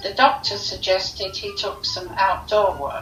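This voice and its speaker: Over music in the background and audible room echo, a woman with a southern English accent speaks at a medium pitch with ordinary pitch variation. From London, England. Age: 70s. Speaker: local resident sharing memories. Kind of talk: reminiscence, reading prepared memories.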